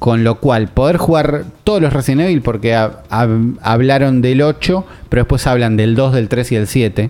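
A man speaks in a normal speaking voice at medium pitch and a moderate pace, with ordinary pitch variation and very even loudness. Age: 30s. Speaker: video game podcast host. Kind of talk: casual chat.

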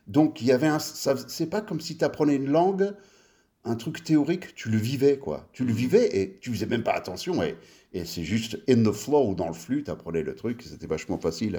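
Using a dark, mellow tone with vocal fry, a man speaks at a medium pitch and a moderate pace, his pitch swinging very widely. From France (western Paris suburbs), early childhood in US. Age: 50s. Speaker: designer. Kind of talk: casual chat.

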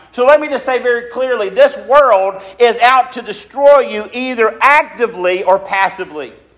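The man's pitch is extremely high, with ordinary variation. He speaks with hardly any pauses over noticeable background noise. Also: moderate pace. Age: 40s. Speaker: pastor. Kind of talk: sermon. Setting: church.

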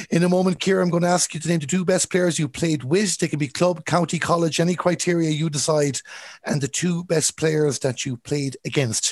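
Against a quiet background, a man's high-pitched voice keeps a fairly even intonation, the sound dry and close with no echo. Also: fairly quick pace. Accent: Galway. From Ireland, Galway. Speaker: sports podcast host. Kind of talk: interview.

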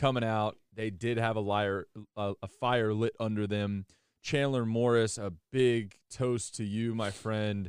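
A man with a normal speaking voice, medium pitch, fairly even intonation and a fairly slow pace, on a very clean recording with a silent background. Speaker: college football podcast host. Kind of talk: casual sports podcast banter.

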